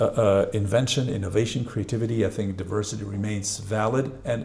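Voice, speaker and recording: Somewhat breathy and medium in pitch, a man's voice moves along at a fairly quick pace. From Switzerland. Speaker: professor. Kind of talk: panel discussion.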